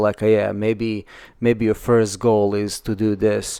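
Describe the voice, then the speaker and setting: In a non-native accent, the speaker talks at a moderate pace with a monotone, flat intonation. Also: man. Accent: foreign. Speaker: architecture podcast co-host. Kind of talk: casual chat. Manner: halting, many repetitions and fillers.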